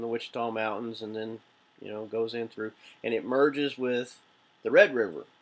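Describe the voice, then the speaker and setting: Relaxed in tone, a man with an American accent speaks in a medium pitch at a moderate pace. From Oklahoma (Shawnee). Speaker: vlogger, navy veteran. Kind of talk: casual vlog. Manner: relaxed, rambling with fillers.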